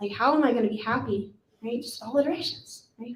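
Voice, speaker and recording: A woman with an American accent, a high pitch and a fairly quick pace. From Texas. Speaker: religious sister giving a retreat talk. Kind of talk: casual talk to retreat group. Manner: fast; chatty, filler-heavy.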